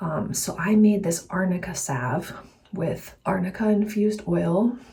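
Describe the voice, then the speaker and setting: Amid noticeable background noise and audible room echo, a woman at medium pitch speaks fairly slowly with ordinary pitch variation. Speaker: herbalist and health coach vlogger. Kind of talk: casual vlog talk. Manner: soft-spoken.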